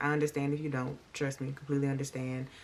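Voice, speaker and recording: A woman speaks quietly. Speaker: true crime and makeup YouTuber. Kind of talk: casual storytelling while doing makeup. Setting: at home, late at night. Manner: talking low, quiet; chatty, conversational.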